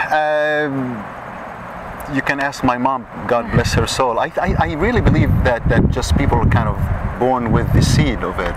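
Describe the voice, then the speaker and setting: A man's medium-pitched voice at a moderate pace, over noticeable background noise. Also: ordinary pitch variation. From Saudi Arabia. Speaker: Middle Eastern dancer. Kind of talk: interview answer. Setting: outdoors.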